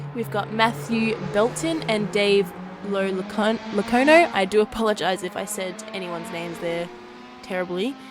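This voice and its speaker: Over noticeable background noise, a woman speaks at a moderate pace with a medium pitch and ordinary pitch variation. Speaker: sim racing broadcast commentator. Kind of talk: live commentary. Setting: live stream.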